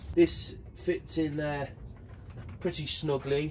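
A man speaks over noticeable background noise. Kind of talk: tutorial. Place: workshop. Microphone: camera far.

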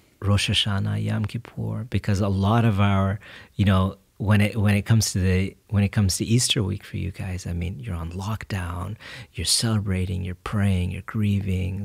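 A man speaks with an American accent at a moderate pace, his pitch fairly low and his intonation fairly even. His voice is somewhat breathy over a quiet background. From Texas, Fort Bend (Houston area); Texas. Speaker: podcast guest. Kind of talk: casual chat. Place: studio. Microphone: studio mic.

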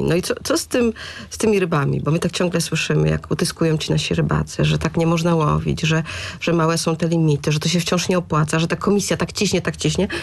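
Here a woman talks at a very fast pace. Her loudness is very even. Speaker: radio host. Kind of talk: radio interview. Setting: radio studio. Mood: lightly ironic, probing. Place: studio. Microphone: studio mic.

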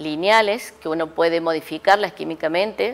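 Fairly low female pitch with ordinary pitch variation at a fairly slow pace. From Córdoba, Argentina. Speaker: chemistry professor and researcher; chemistry professor. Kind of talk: interview. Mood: calm, reminiscing. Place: studio. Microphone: lapel.

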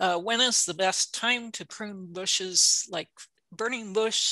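A woman speaks at a very slow pace with a bright, sharp tone. The sound is dry with no echo, over a quiet background. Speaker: horticulture extension specialist. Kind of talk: educational webinar presentation.

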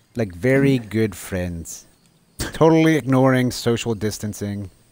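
At a fairly slow pace, a man with a plain, everyday voice and medium pitch talks with lively intonation. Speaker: gamer dad. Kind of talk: casual gaming chat.

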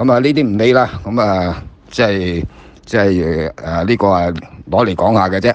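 At a moderate pace, a man with a fairly low voice speaks with ordinary pitch variation. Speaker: former jockey and horse trainer. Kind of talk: casual chat.

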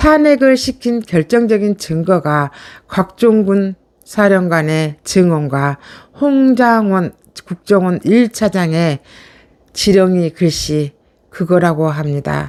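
In a dry, close sound with no echo, a woman talks at a very slow pace with very wide pitch swings. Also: medium pitch for a woman. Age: middle-aged. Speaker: political YouTube commentator. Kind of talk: political commentary monologue. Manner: animated.

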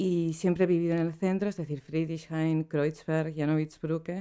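Against a quiet background, the voice has a dark, mellow tone and moves at a moderate pace with fairly even intonation. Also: woman. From Spain, Basque Country (Bilbao). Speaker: poet and translator; poet. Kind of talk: interview. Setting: studio. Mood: relaxed, reflective. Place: home room. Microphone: studio mic.

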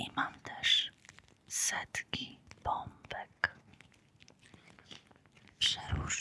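A woman whispers at a very slow pace in a calm tone. She leaves long, frequent pauses. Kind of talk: ASMR close-whisper talk. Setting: close-mic studio with crinkle and squishy-toy sounds. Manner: whispered, soft, calm.

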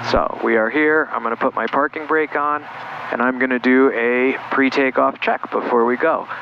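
A man's fairly even intonation in a dry sound with no echo, over light background noise. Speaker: flight instructor. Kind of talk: tutorial. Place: plane. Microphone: headset.

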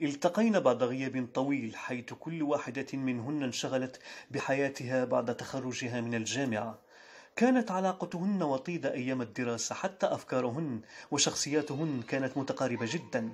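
A man with a normal speaking voice and medium pitch talks at a fairly slow pace on a very clean recording with a silent background. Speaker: voice-over artist. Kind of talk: short story reading.

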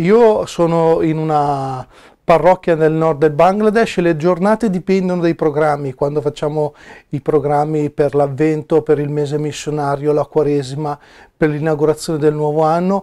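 At a moderate pace, a man speaks in a fairly high voice with a dark, mellow tone. His intonation is fairly even over a quiet background. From northern Italy, Milan province; northern Italy. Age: 40s. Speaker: missionary priest. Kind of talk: personal testimony interview; interview answer. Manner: hesitant, with filler sounds. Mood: calm, reflective. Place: office. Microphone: lapel.

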